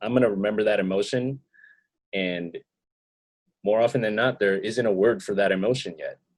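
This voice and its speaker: This man talks at a fairly quick clip with long, frequent pauses. His pitch is fairly low and his intonation fairly even. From US Northeast, Queens, New York City. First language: not English. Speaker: rapper and music producer. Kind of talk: interview. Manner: hesitant, many fillers and repeated words.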